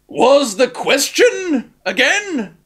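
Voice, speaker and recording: A man performs a put-on character voice with a growl. His pitch is extremely high and swings very widely. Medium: read story. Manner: growling.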